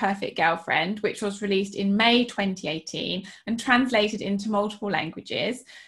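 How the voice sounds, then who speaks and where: A woman with a British accent at a fairly quick pace over a quiet background. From England. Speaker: podcast co-host and writer. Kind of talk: casual chat. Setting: video call. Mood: warm, friendly. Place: home room. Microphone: video call.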